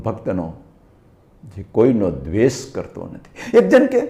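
The man's voice has a dark, mellow tone. His pitch is fairly low. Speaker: spiritual speaker. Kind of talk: religious discourse. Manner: animated.

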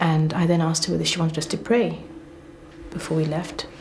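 A woman with fairly low pitch talks in monotone, flat intonation at a moderate pace, with light background noise behind her. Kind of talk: interview answer. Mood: earnest, emotional recollection. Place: office. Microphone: lapel.

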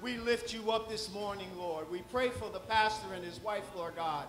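Clear music plays behind a man speaking with audible room echo. His voice is high-pitched with ordinary pitch variation at a moderate pace. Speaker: church leader giving welcome and prayer. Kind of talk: prayer and welcome. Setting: church. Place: church.

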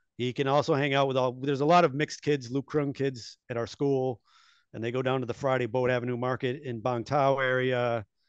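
With an upstate New York accent, the speaker delivers monotone, flat intonation at a fairly quick pace, over a quiet background and with a dry sound with no echo. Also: man. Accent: American (upstate New York). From US Northeast (upstate New York). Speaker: expat business owner, former stock trader. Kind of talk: interview. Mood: relaxed, reflective. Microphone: headset.

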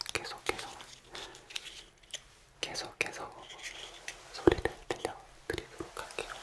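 The voice whispers at a fairly slow pace. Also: man. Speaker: ASMR creator. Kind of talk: soft spoken ASMR talk. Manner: soft, hushed ASMR speaking voice. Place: home room. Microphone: studio mic.

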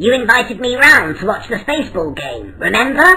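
A cartoonish character voice that sounds female speaks at a moderate pace with high pitch. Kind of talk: cartoon comedy voice. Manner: brisk, teasing, irritated by noise.

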